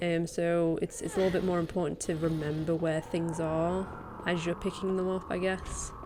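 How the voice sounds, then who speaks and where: Quiet and fairly low in pitch, a woman speaks at a moderate pace. Her intonation is monotone and flat. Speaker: speedrunner and streamer. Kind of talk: gameplay voiceover commentary. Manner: quiet, keeping voice down; hesitant, many fillers.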